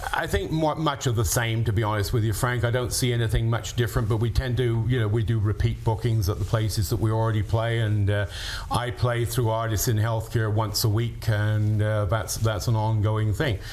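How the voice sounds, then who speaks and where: A man talks at a medium pitch and a fairly quick pace, with hardly any pauses, fairly even intonation and very even loudness. Noticeable background noise and audible room echo are present. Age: 70s. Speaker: musician. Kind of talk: interview.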